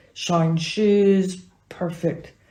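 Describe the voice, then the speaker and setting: A woman with an American accent speaks in a fairly low, somewhat breathy voice with a dark, mellow tone and flat, monotone intonation, with audible room echo. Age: 70s. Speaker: acupuncturist and teacher. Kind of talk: interview answers.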